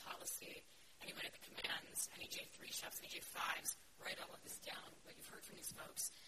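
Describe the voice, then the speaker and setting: The voice is a whisper. Background noise can be clearly heard. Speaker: defense industry executive on panel. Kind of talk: panel discussion remarks. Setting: conference with audience.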